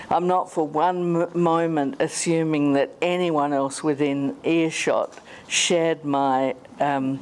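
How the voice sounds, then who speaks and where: With an Australian accent, a woman speaks at a very slow pace in a very deep, low pitch with ordinary pitch variation and very even loudness. Background noise is noticeable. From South Australia. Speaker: conference speaker living with motor neurone disease. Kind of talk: conference talk. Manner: slowed, sometimes slurred speech; halting.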